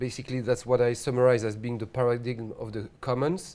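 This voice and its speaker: A man's medium-pitched voice with a strong French accent. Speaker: housing researcher, PhD candidate. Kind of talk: lecture. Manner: hesitant, many fillers.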